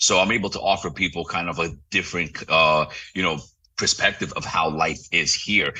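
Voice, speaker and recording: This man has a very deep, low pitch. He talks in a New York accent. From New York City. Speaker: real estate broker. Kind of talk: interview. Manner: fast; animated.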